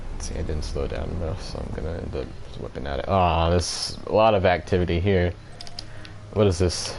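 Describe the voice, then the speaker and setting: The speech moves at a fairly quick pace with ordinary pitch variation, set against audible room echo and noticeable background noise. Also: man, very deep, low pitch for a man. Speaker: video game streamer. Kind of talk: live gameplay commentary.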